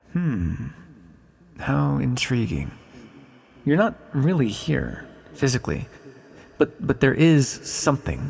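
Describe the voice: In a put-on character voice, a man speaks slowly at a medium pitch with big pitch swings, vocal fry, a slightly husky edge, a slightly mellow tone, and long, frequent pauses.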